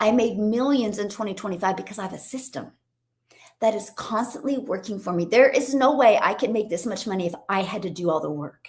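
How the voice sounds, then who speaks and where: A woman with a fairly high pitch speaks in an animated, somewhat breathy tone at a fairly quick pace on a very clean recording with a silent background. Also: ordinary pitch variation. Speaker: online business coach. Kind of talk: live stream training. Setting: livestream on TikTok and YouTube.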